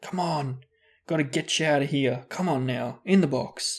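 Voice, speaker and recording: A man's put-on character voice, whispering, hoarse and raspy, at a moderate pace. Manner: hoarse whisper.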